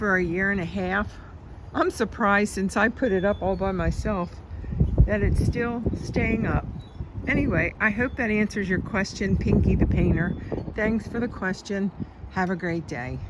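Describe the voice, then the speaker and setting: A woman speaks at a moderate pace with long, frequent pauses, a medium pitch and ordinary pitch variation, over noticeable background noise. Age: 70s. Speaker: video blogger. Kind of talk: casual vlog.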